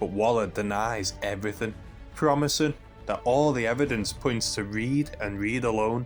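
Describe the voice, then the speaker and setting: A medium-pitched man's voice with music in the background. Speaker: comic book reviewer. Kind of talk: video essay commentary. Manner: quieter than usual.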